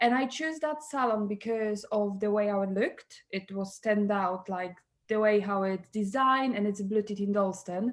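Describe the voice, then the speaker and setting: A woman speaks at a fairly slow pace with a Polish accent. Her pitch varies in an ordinary way, and the background is quiet. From Poland. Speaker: salon co-owner and hairdresser. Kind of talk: interview conversation.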